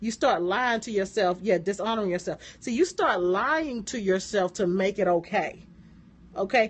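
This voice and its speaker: A woman with an American accent, medium pitch, lively intonation and an animated tone at a moderate pace. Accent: southern accent, comes out at times. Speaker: motivational business coach. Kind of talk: live-stream motivational talk. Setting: live stream.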